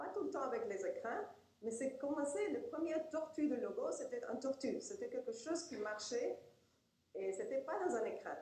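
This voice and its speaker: In a Spanish accent, a woman talks at a high pitch, swinging very widely. Audible echo fills the room. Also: moderate pace. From Argentina. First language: Spanish (speaking French). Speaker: professor and researcher. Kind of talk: lecture. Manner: halting.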